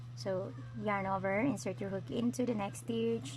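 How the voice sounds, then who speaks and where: A woman with a Filipino accent speaks at a fairly slow pace in a very deep, low pitch, with very wide pitch swings and vocal fry. Audible room echo surrounds her voice. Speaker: crochet tutorial vlogger. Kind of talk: tutorial. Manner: hesitant, many fillers.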